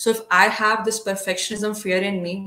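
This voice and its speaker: The voice belongs to a woman. She keeps a moderate pace. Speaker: psychology lecturer and psychotherapist. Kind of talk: online workshop talk. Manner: halting, many fillers.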